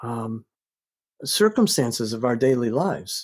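In an American accent, the speaker's pitch swings very widely, on a very clean recording with a silent background. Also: man. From US South, North Carolina. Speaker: psychology professor and author. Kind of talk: podcast interview.

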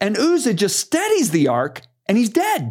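Speaking at a moderate pace, a man with a high pitch sounds animated and makes very wide pitch swings. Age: 60s. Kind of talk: casual chat. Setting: studio.

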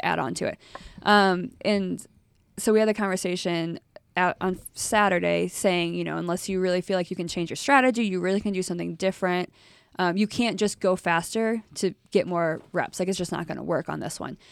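A woman with a plain, everyday voice speaks at a fairly quick pace and medium pitch in a fairly even intonation, captured in a very clean recording with a silent background. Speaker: podcast host. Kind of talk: casual chat about CrossFit.

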